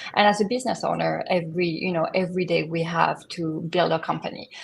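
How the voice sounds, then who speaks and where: Somewhat breathy and fairly quick, a woman with a French accent speaks in a fairly low pitch with fairly even intonation. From southern France. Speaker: image consultant. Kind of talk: podcast interview. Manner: hesitant, many fillers.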